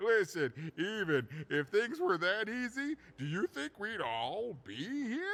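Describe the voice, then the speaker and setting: A put-on character voice from a man, fairly slow in pace and high in pitch. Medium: video game. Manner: chuckling, rambling, apologetic.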